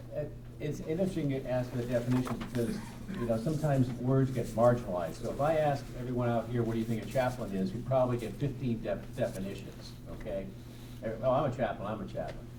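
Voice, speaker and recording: Talking at a very fast pace, a man uses a medium pitch with ordinary variation. Noticeable background noise and audible room echo fill the recording. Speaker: workplace chaplain. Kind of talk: panel discussion.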